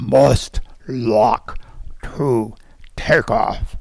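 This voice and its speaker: The voice is a put-on character voice, gruff and robotic. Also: man. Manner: yelling.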